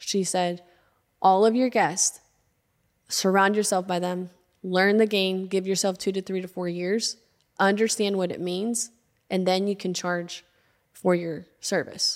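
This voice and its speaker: A woman's medium-pitched, monotone, flat delivery with an American accent, fairly slow, broken by long, frequent pauses. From Arkansas, US South. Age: 20s. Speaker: podcast founder and entrepreneur. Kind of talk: casual interview conversation. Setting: studio.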